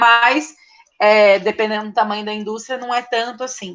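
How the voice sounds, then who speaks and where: A woman talks at a moderate pace in a fairly high pitch. It is a normal speaking voice. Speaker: teacher. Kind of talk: online lecture. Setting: online class.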